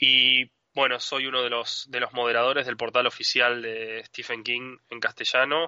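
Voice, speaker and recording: A man's normal speaking voice, medium in pitch, at a fairly slow pace. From Argentina. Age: 30s. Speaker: author. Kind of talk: interview.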